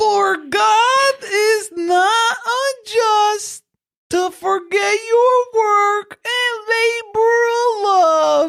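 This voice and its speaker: An extremely high put-on character voice. It moves along at a very slow pace. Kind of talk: sermon, scripture reading. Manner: put-on preacher voice, overdone.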